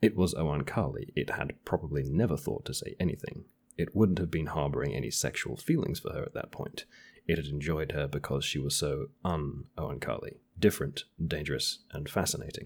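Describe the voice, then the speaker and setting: At a fairly quick pace, a man talks with a very deep, low pitch, vocal fry and ordinary pitch variation. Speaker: podcast co-host. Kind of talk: casual chat.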